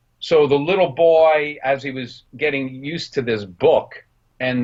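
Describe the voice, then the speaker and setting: With a New Jersey accent, a man speaks with ordinary pitch variation. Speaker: film director and production designer. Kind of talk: interview.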